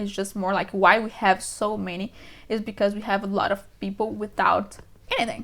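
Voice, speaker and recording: A woman with a strong Brazilian accent speaks at a fairly quick pace in a monotone, flat voice over noticeable background noise. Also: medium pitch for a woman. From Brazil, São Paulo. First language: Portuguese. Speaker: vlogger. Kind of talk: casual talk to camera. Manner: fast.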